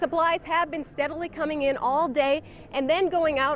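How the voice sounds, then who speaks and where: Fairly even intonation at a moderate pace from a woman with a high pitch. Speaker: TV news reporter and anchor. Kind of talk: TV news field report.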